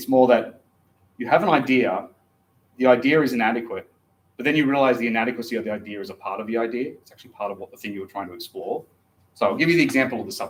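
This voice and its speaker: Talking at a very fast pace with big swings in loudness, a man speaks in an Australian accent. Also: medium pitch for a man, ordinary pitch variation. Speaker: philosophy lecturer. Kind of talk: lecture. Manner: hesitant, many fillers.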